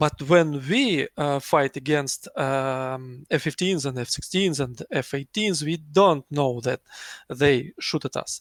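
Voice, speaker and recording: The speaker has a non-native accent. The sound is dry and close, with no echo. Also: man, very clean recording, silent background. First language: not English. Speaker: flight sim squadron pilot. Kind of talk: post-match interview. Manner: halting.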